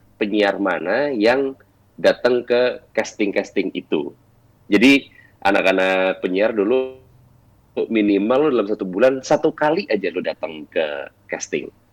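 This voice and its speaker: Speaking at a fairly slow pace, the man has an ordinary speaking voice at medium pitch. His intonation is lively. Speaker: radio announcer and voice-over talent. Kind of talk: casual chat.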